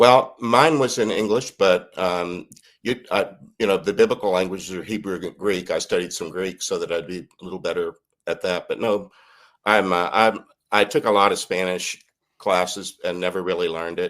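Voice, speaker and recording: The recording is very clean, with a silent background. A man speaks with a fairly low pitch and ordinary pitch variation. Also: moderate pace. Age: 60s. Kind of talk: interview podcast. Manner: halting, many fillers.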